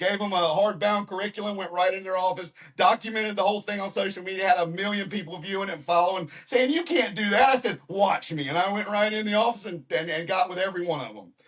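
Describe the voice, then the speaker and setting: Over noticeable background noise, a high-pitched man with a Southern US accent races at a very fast pace with hardly any pauses, ordinary pitch variation and big swings in loudness. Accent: Southern American. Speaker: podcast host. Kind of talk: interview; scripted intro.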